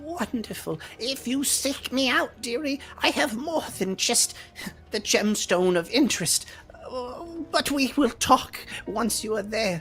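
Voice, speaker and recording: A female-sounding voice in a high-pitched put-on character voice speaks at a fairly slow pace over clear background noise. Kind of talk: fantasy role-play acting. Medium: actual play. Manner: archaic, hesitant, grandmotherly, says "dearie".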